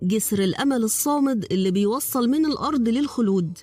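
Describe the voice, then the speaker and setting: Music plays in the background as a woman with an Egyptian accent speaks at a moderate pace. Her voice is fairly high, with lively intonation. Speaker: voice-over artist. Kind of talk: educational documentary narration.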